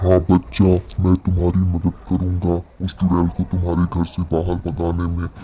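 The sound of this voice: At a moderate pace, a man speaks in a cartoonish character voice with a very deep, low pitch.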